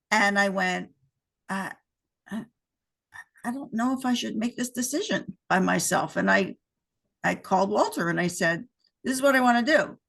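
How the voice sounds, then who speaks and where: A woman speaks at a moderate pace with lively intonation, medium pitch and vocal fry. Her speech has long, frequent pauses. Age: 60s. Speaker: entrepreneur who sold her business. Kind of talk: casual interview.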